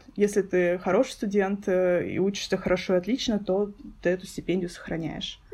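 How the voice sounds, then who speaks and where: A woman speaks at a moderate pace in a medium pitch. Her tone is dark and mellow, with fairly even intonation. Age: 20s. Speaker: guest, master's student. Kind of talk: casual interview chat.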